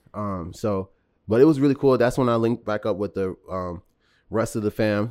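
A plain, everyday voice with an American accent speaks at a moderate pace with ordinary pitch variation, on a very clean recording with a silent background. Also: man, fairly low pitch for a man. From Round Lake, Illinois (Chicago area). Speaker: rapper. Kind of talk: casual chat.

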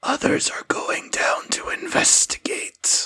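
A man puts on a character voice. It sounds raspy.

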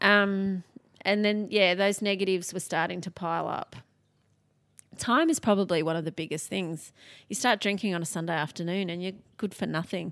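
Speaking at a moderate pace with long, frequent pauses, a woman with an Australian accent uses a medium pitch. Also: ordinary pitch variation, very clean recording, silent background. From Sydney, Australia. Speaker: author and keynote speaker. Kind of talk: casual chat. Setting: at her home.

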